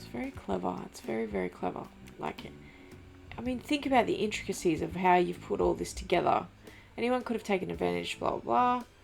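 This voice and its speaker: Quiet and fairly quick, a woman speaks with big swings in loudness. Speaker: gaming YouTuber. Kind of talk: let's play commentary.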